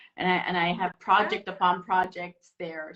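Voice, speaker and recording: A woman speaks at a moderate pace with an Iranian accent. Her pitch sits in the medium range. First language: Farsi. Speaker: interview guest. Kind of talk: casual interview chat.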